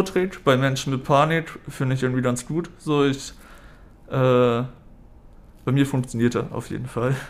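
Speaking at a very slow pace, a man keeps a medium pitch. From northern Germany, Hamburg. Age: 30s. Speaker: patient, student. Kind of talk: interview. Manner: halting, many fillers.

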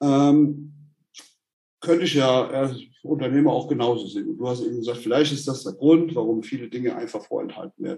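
A man's somewhat breathy, dark and mellow voice at a fairly quick pace. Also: fairly high pitch for a man, ordinary pitch variation. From Germany, Hesse. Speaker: orthotics company founder. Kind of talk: casual chat.

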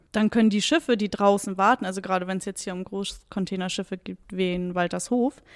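Delivery is fairly quick with ordinary pitch variation. The recording is very clean and dry, close and echo-free over a silent background. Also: woman. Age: 30s. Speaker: water police officer. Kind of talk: interview. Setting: police station. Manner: hesitant with fillers.

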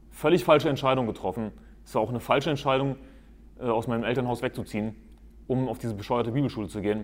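Speech comes at a very fast pace with ordinary pitch variation, broken by long, frequent pauses. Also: man, medium pitch for a man. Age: 20s. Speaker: podcast host, lay preacher. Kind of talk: monologue, preaching style. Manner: emphatic.

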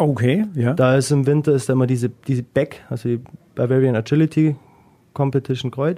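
The tone is dark and mellow, with very even loudness. Intonation stays fairly even at a fairly quick pace. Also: man, medium pitch for a man. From Swabia, Germany. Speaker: dog agility competitor. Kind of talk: casual interview.

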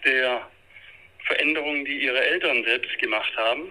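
A man's intonation stays fairly even while noticeable background noise carries on behind him. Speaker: family counselor and author. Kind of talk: interview. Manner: halting with many fillers.

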